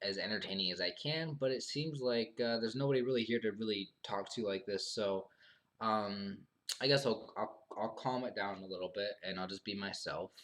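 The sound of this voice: This man's voice has a fairly bright tone and ordinary pitch variation.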